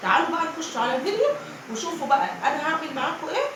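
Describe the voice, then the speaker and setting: Amid noticeable background noise and audible room echo, a woman with an extremely high pitch speaks at a fairly quick pace with very wide pitch swings. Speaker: cooking vlogger. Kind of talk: cooking tutorial. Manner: chatty, informal.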